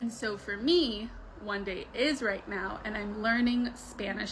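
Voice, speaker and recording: A woman with an American accent speaks at a moderate pace. Background noise is noticeable. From US, New York area; Egyptian-born, Arabic-speaking home. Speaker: vlogger. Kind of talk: casual monologue. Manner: casual, conversational with fillers.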